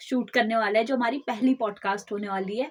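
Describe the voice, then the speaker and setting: Her voice is that of a woman, pitched fairly high. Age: 20s. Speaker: podcast co-host. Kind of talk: casual chat.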